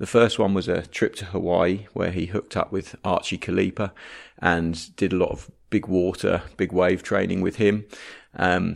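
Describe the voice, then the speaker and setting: Against a quiet background, a man with a very deep, low pitch speaks with fairly even intonation. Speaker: podcast host. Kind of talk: podcast intro and outro.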